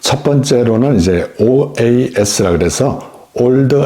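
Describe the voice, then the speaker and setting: A man speaks with lively intonation. Noticeable background noise can be heard behind him. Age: 60s. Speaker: YouTuber explaining senior benefits. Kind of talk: informational talk to camera. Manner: friendly, conversational.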